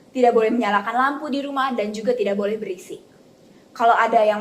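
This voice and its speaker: Someone with a West Javanese accent talks at a very fast pace with ordinary pitch variation amid noticeable background noise. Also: woman. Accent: Sundanese. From West Java (Bogor), Indonesia. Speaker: university student interviewee. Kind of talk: interview testimony.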